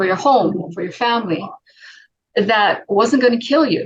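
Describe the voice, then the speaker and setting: Using vocal fry, a woman speaks at a fairly slow pace with lively intonation. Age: 60s. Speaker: wellness product advocate. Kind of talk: casual interview chat. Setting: video call.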